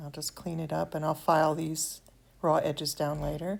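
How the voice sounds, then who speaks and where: On a very clean recording with a silent background, a woman with an American accent speaks in a very deep, low pitch with vocal fry. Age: 70s. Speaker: miniature craft hobbyist. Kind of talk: tutorial. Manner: halting, with fillers.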